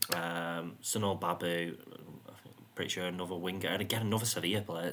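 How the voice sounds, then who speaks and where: A man speaks with a British accent in a very deep, low pitch and fairly even intonation. Noticeable background noise runs behind him. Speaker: gaming youtuber. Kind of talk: gameplay commentary. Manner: monotone.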